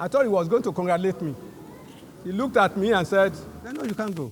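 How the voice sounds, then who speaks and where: This man talks at a very fast pace in a high pitch, with lively intonation. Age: 80s+. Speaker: veteran journalist. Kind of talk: storytelling speech at a celebration.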